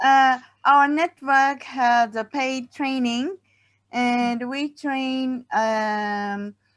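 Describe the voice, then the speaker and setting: A woman speaks very slowly in a high voice with a Japanese accent and ordinary pitch variation. The background is quiet. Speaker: play network worker. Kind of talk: panel discussion Q&A. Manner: halting.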